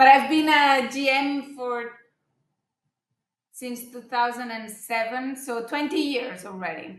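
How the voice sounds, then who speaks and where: Amid audible room echo, a woman with a high pitch and ordinary pitch variation speaks at a very slow pace, with long, frequent pauses and big swings in loudness. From Spain. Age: 40s. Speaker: hotel general manager. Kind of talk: interview.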